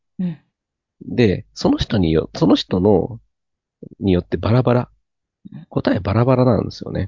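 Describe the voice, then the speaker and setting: This man speaks at a moderate pace with lively intonation and long, frequent pauses. His voice sits at a medium pitch and sounds somewhat breathy. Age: 30s. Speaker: cram school teacher. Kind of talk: casual chat.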